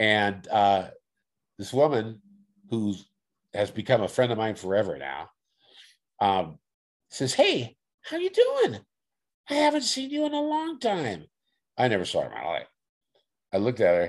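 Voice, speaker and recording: A man speaks with an American accent at a moderate pace. He leaves long, frequent pauses. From Oakland, California. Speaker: paranormal experiencer. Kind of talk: casual interview. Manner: halting, repetitive.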